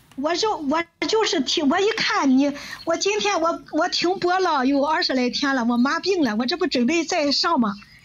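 Over noticeable background noise, a woman with an extremely high pitch speaks at a moderate pace with lively intonation and very even loudness. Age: old. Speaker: livestreamer. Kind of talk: casual chat.

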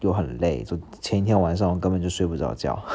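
A dark, mellow tone with ordinary pitch variation. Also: man. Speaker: podcast host. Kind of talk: casual solo monologue. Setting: at home, recording at 4:30 am. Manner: rambling with many fillers.

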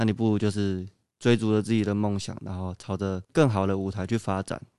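At a fairly quick pace, a man with a fairly low pitch and a dark, mellow tone speaks with fairly even intonation in a dry, close sound with no echo. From Taiwan, Kaohsiung. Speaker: badminton athlete, university student. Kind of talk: interview.

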